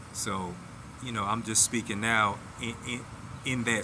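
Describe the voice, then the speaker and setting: A man's bright, sharp tone at a fairly slow pace, in a monotone, flat intonation. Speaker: vlogger sharing personal reflections. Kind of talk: casual monologue. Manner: slow at times; halting, repeated words.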